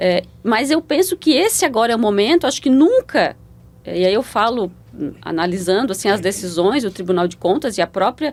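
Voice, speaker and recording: Her pitch is fairly high, with very wide swings. The woman keeps a moderate pace. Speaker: public auditor. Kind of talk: interview. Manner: repeats syllables, halting starts.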